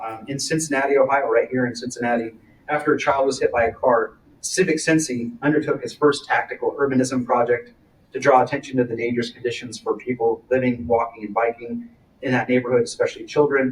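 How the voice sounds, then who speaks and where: The delivery comes at a very fast pace with fairly even intonation. The voice is somewhat breathy. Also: man, medium pitch for a man. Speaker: conference speaker. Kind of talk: conference presentation. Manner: hesitant fillers.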